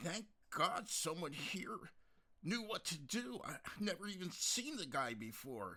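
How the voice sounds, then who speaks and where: A man's put-on character voice, high-pitched, with very wide pitch swings at a fairly slow pace. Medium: read story.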